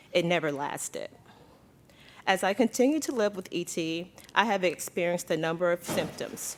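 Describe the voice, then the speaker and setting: A woman at medium pitch speaks at a moderate pace with ordinary pitch variation. Her speech has long, frequent pauses. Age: 40s. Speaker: patient advocate. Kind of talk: testimony.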